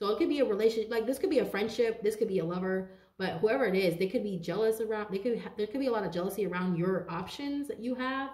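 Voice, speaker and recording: A woman with a fairly high pitch talks at a very fast pace with hardly any pauses. Her pitch variation is ordinary, and room echo is audible. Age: 30s. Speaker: tarot card reader. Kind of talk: tarot reading monologue. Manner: animated. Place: home room. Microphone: phone near.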